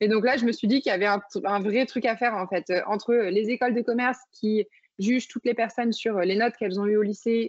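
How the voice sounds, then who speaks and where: A plain, everyday voice talks at a fairly quick pace with ordinary pitch variation. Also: woman. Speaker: startup founder. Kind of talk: interview.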